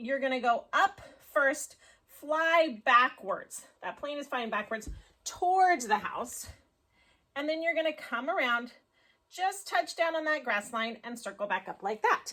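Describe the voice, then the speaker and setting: A woman projects a raised, high-pitched voice with a bright, sharp tone. Her pitch swings very widely as she speaks at a fairly slow pace. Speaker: elementary school teacher. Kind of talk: tutorial.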